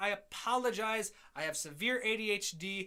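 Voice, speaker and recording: A raised, projected voice in a Midwestern accent, bright and sharp in tone, with very wide pitch swings. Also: man. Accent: nasal Midwestern. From US Midwest. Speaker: music composer and educator. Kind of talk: live stream feedback and Q&A. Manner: fast.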